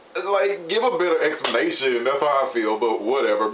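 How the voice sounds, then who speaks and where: Amid noticeable background noise, a man speaks at a fairly quick pace. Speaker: TV show reviewer. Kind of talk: casual review talk to camera. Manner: enthusiastic.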